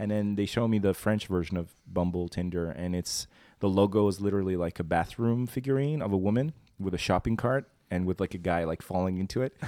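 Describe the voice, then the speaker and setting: In a relaxed, dark, mellow tone, a man speaks at a fairly quick pace and a fairly low pitch. The recording is very clean, the background silent. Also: ordinary pitch variation. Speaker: podcast host. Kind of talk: casual chat. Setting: studio. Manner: relaxed, bantering.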